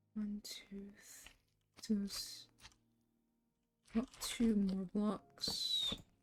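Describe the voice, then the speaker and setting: The speech comes quietly at a very slow pace, with long, frequent pauses. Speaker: game streamer. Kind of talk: casual live stream commentary. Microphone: microphone turned lower, maybe too quiet.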